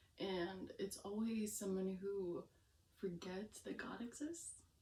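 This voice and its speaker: Her voice somewhat breathy and dark and mellow in tone, a woman speaks at a medium pitch and fairly slow pace with ordinary pitch variation. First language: Romanian. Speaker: vlogger. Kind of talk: casual vlog. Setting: at home, on camera. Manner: halting, stumbling over words.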